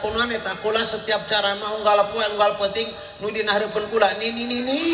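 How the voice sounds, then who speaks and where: A man's voice comes through with audible room echo. Noticeable background noise is present as well. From Banten, born in Baros. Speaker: Islamic preacher (kyai). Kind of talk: humorous sermon. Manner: blunt, coarse-sounding speech.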